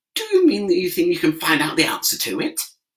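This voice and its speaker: A man in a put-on character voice at a very fast pace. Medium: read story.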